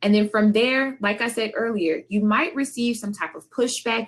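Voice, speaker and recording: A woman with an ordinary speaking voice and a fairly high pitch keeps a moderate pace, her intonation lively. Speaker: conference presenter. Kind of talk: presentation. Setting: video call.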